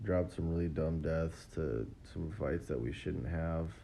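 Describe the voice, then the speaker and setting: A man with a dark, mellow tone at a fairly slow pace. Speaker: mobile game player. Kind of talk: gameplay commentary.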